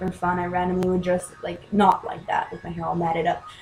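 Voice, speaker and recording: Against noticeable background noise, a woman speaks quite quickly with a fairly low pitch and monotone, flat intonation. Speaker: vlogger and aspiring musician. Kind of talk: casual vlog monologue. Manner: halting.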